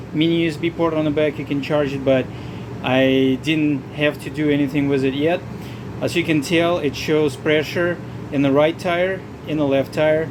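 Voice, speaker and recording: Someone with a non-native accent speaks at a moderate pace against noticeable background noise. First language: not English. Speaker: RV vlogger. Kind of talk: tutorial. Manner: halting.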